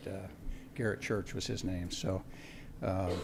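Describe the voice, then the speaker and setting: Audible room echo surrounds a man who speaks at a moderate pace, with vocal fry and lively intonation. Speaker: aviation instructor. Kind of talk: award presentation. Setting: school board meeting. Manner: halting.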